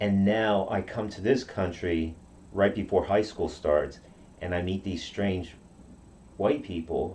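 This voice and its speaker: A man talks at a fairly slow pace in a somewhat breathy voice, leaving long, frequent pauses. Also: fairly even intonation. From Okinawa, Japan. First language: Japanese. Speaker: karate practitioner. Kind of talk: interview. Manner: halting.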